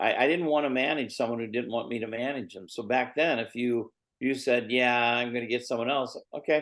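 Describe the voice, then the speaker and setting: A man talks at a fairly quick pace and medium pitch with fairly even intonation. He has a plain, everyday voice. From Indiana, US Midwest. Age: 60s. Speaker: MMA manager and promoter. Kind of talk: podcast interview.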